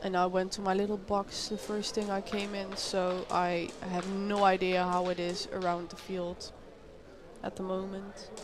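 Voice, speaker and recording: Speaking in a Dutch accent, a woman talks at a fairly slow pace with monotone, flat intonation. Audible room echo and noticeable background noise fill the recording. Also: medium pitch for a woman. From Netherlands. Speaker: sports commentator. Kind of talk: live commentary. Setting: small booth at a paintball event. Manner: casual, chatty.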